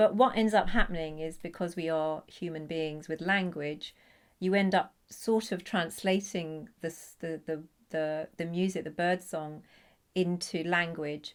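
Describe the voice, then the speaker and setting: On a very clean recording with a silent background, a woman speaks at a fairly slow pace in a fairly low pitch with fairly even intonation. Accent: British. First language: Punjabi. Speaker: poet. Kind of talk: interview talk about her project. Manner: halting, many fillers and repetitions.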